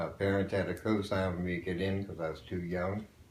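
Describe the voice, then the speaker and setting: A man with an American accent talks at a fairly quick pace in a very deep, low voice, his intonation monotone and flat, with audible room echo. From western Pennsylvania. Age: 70s. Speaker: war veteran. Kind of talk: interview.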